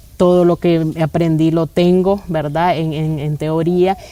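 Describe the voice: Speaking at a fairly slow pace, a woman has a low voice with a dark, mellow tone and little pitch movement.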